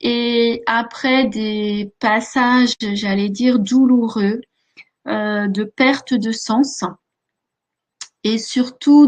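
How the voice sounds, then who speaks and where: The pace is very slow. Intonation remains fairly even throughout. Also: woman. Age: 50s. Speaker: life coach and hypnotherapist. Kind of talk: webinar presentation. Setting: online webinar. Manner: many hesitations (euh).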